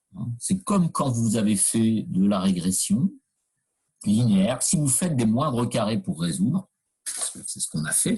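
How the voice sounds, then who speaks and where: Here a man speaks at a fairly slow pace, his medium-pitched voice dark, mellow and somewhat breathy. His pitch swings very widely and his loudness varies a lot. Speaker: university lecturer. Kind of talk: lecture. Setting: video call. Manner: hesitant, many fillers.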